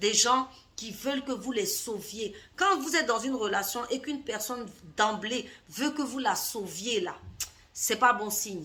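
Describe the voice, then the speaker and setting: A woman's fairly high voice at a fairly slow pace, lively in intonation, with long, frequent pauses. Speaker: life coach. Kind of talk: vlog monologue. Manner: hesitant, with fillers.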